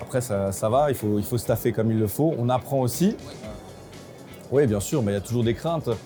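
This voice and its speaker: The speech moves at a fairly quick pace with ordinary pitch variation. Noticeable background noise is present. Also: man. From Alsace, France. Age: 30s. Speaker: bar franchise owner. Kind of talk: interview testimony. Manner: hesitant, many filler sounds.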